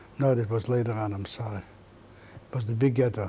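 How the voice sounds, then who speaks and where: Breathiness runs lightly through a man's dark, mellow tone. His intonation stays monotone and flat. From Latvia, Riga. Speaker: Holocaust survivor. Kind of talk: testimony. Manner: halting.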